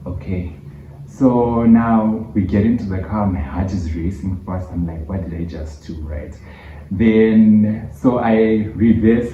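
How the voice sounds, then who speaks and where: A man with a Zimbabwean accent speaks very slowly in a very deep, low voice, his dark, mellow tone somewhat breathy, with ordinary pitch variation and audible room echo. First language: Shona. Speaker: YouTuber. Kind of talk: storytime vlog.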